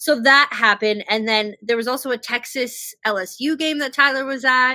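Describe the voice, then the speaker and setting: A woman with an American accent speaks at a moderate pace in a raised, projected voice, her tone bright and sharp, her pitch high and her pitch variation ordinary. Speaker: podcast host. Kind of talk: casual chat. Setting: video podcast on laptop. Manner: halting.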